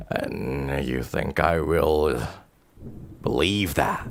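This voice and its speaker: In a put-on character voice, a man speaks at a very deep, low pitch and a very slow pace. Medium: actual play. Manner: cold, threatening.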